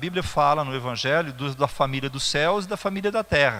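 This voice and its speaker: A man's bright, sharp tone with lively intonation. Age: 60s. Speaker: pastor. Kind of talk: sermon. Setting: church. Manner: halting, with fillers and repetitions.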